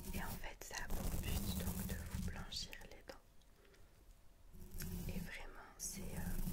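A woman whispers, soft-spoken throughout. Loud background noise fills the recording. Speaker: ASMR video creator. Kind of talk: soft casual vlog chat. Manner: soft close-mic ASMR whisper. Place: home room. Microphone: studio mic.

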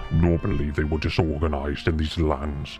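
This is a put-on character voice delivered at a moderate pace. Music plays clearly in the background. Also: man. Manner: commanding.

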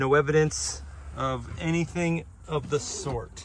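A man does the talking. His voice sounds dry, with no echo. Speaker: car salesperson. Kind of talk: vehicle walkaround commentary. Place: street. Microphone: phone near.

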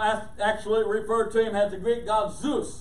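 The speaker talks at a moderate pace, with audible room echo. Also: man. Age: old. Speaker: pastor. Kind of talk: sermon. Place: church.

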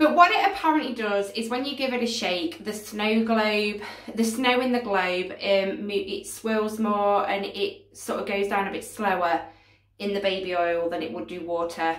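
Against a quiet background with audible room echo, a woman talks at a moderate pace with ordinary pitch variation. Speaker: craft vlogger. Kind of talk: casual vlog chat. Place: home room. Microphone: phone near.

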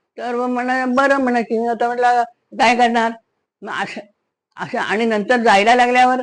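A woman's high-pitched voice. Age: 80s+. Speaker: retired school teacher. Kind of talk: storytelling. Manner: halting.

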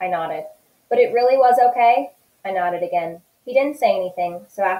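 The background is quiet. A natural voice reads aloud with lively intonation.

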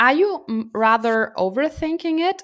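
A woman with a German accent speaks at a very slow pace against a quiet background. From Germany. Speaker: podcast co-host. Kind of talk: casual chat. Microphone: studio mic.

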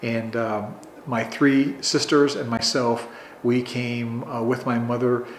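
With a northern US accent, a man speaks at medium pitch and a very slow pace. His intonation is monotone and flat. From Chicago suburbs, Illinois. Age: 60s. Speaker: oral history interviewee. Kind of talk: oral history interview.

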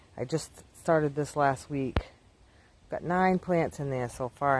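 The pace is moderate. There's light background noise, and the sound is dry with no echo. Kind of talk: casual vlog chat. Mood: relaxed, proud. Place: garden. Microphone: phone near.

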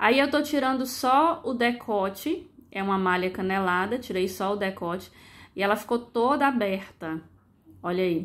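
Here a woman talks at a moderate pace. Her pitch sits in the medium range. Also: lively intonation. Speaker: sewing youtuber. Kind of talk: tutorial. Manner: casual instructive.

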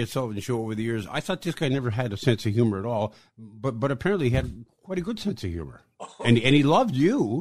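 An ordinary speaking voice at a fairly quick pace. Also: man. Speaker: podcast host. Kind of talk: interview.

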